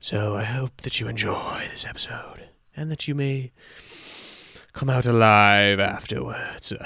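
A man uses a put-on character voice, raspy and at a medium pitch. He moves at a moderate pace with long, frequent pauses. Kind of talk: theatrical. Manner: sinister.

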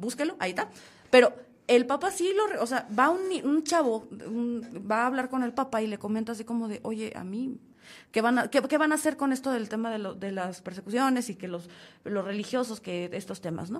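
Someone speaks at a fairly quick pace in an animated tone with lively intonation. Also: woman, fairly high pitch for a woman. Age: 30s. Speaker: podcast host. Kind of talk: casual chat.

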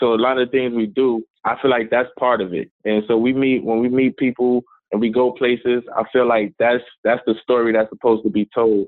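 A man in an American accent talks at a fairly quick pace with medium pitch, fairly even intonation and very even loudness, an ordinary speaking voice. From South Bronx, New York City. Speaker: hip hop artist and motivational speaker. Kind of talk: interview.

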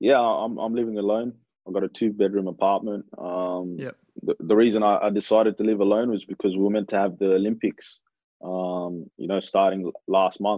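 With an Australian accent, a man speaks at a moderate pace. His pitch is fairly low and his intonation fairly even. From Australia (Adelaide, then Melbourne), Kenyan-born. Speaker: professional footballer. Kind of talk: casual interview.

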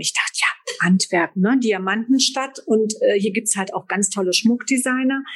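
Her voice has a somewhat breathy quality. The woman's pitch is fairly high. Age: 50s. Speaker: fashion sales agent. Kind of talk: interview.

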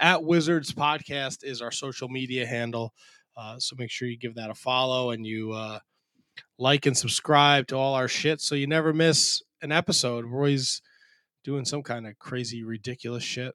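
A man with an American accent talks at a moderate pace and medium pitch with fairly even intonation. It is an unremarkable speaking voice on a very clean recording with a silent background. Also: dry, close sound with no echo. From New Jersey. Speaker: podcast host. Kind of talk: casual chat.

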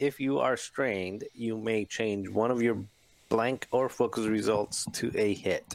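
A man with an unremarkable speaking voice speaks at a fairly slow pace in a medium pitch with fairly even intonation, the sound dry and close with no echo. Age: 40s. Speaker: tabletop game player. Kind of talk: casual chat.

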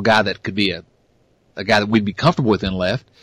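With an American accent, this man talks. His voice sits at a medium pitch. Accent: twangy American. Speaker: sports podcast host. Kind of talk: casual sports chat. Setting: online call recording. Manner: halting, many fillers.

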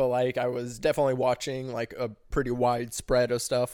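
A man's normal speaking voice at medium pitch and a fairly quick pace, on a very clean recording with a silent background. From US Midwest, St. Louis area, Missouri. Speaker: podcast guest. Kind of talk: casual chat.

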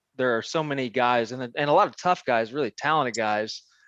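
With an American accent and a plain, everyday voice, a man talks at a fairly quick pace in a medium pitch with ordinary pitch variation. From central Missouri. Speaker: fighter's manager. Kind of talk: casual interview.

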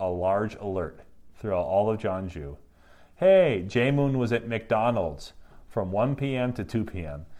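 Lively intonation from a man with a dark, mellow tone and an Upper Peninsula Michigan accent. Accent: Upper Midwest (Yooper). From Michigan Upper Peninsula. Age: 30s. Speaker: craft brewer. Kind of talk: casual interview. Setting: in person. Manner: halting, frequent repetitions.

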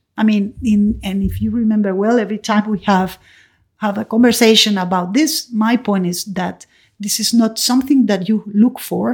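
A woman with a Spanish accent speaks at a medium pitch and a moderate pace. Her voice is somewhat breathy, and her intonation is fairly even. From Venezuela. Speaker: mother of the host. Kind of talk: casual chat. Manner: halting, many repetitions.

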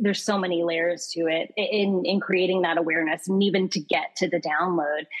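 A woman speaks at medium pitch with fairly even intonation and a moderate pace, in an American accent. Hers is a plain, everyday voice. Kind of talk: casual interview chat.

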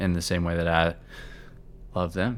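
In a very clean recording with a silent background, a man with an American accent speaks at a very deep, low pitch with fairly even intonation. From US Midwest, Cincinnati. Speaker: podcast guest, husband of the host. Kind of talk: casual interview chat.

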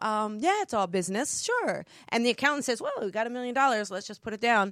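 Loud and animated, a woman speaks in a high pitch with lively intonation and an American accent. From New Jersey. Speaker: author and spiritual business coach. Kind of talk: casual chat about her book. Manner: loud, animated; excitable.

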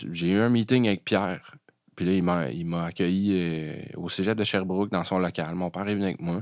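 In a very clean recording with a silent background, a man with a very deep, low pitch talks at a moderate pace and with fairly even intonation. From Quebec, Eastern Townships. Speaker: jazz pianist and composer. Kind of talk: casual interview chat.

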